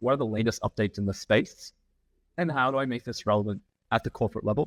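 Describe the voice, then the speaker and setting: On a very clean recording with a silent background, a man with an American accent talks at a very fast pace in a dry, close sound with no echo. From Australia, Melbourne. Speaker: sustainability consultancy founder. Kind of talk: podcast interview.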